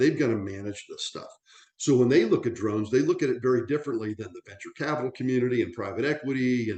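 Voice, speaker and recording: A man with a medium pitch speaks in an unremarkable speaking voice with ordinary pitch variation. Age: 60s. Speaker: aviation industry veteran presenting on drones. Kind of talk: webinar presentation. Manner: conversational with frequent fillers and restarts.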